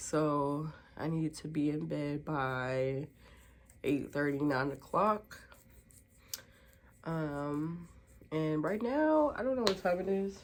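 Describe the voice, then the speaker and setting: Using a very deep, low pitch for a woman, she speaks at a fairly slow pace with ordinary pitch variation and long, frequent pauses. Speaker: vlogger. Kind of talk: casual vlog talk. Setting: at home.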